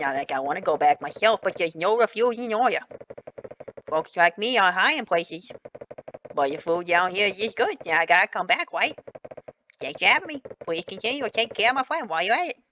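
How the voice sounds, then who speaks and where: A put-on character voice that sounds female, pitched at a medium level for a woman and delivered at a fairly quick pace with long, frequent pauses. Sound effects play in the background. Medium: game stream. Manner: casual, folksy, relaxed.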